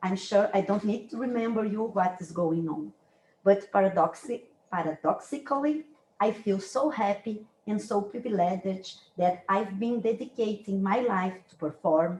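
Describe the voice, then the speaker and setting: A woman with a Brazilian accent speaks in a somewhat breathy medium pitch at a moderate pace, with ordinary pitch variation. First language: Brazilian Portuguese. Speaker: dance researcher and university lecturer. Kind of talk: academic lecture. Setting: lecture room, hybrid online and in person. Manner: halting, with self-corrections.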